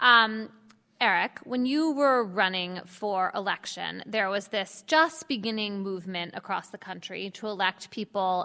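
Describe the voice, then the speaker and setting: At a fairly slow pace, a woman speaks in an ordinary speaking voice with medium pitch and ordinary pitch variation, on a very clean recording with a silent background. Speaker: author and journalist moderator. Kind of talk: moderated panel conversation. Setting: live event with audience.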